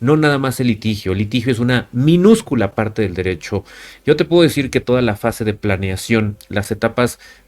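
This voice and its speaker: A man speaks in a plain, everyday voice with ordinary pitch variation. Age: 30s. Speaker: lawyer and law educator. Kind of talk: lecture.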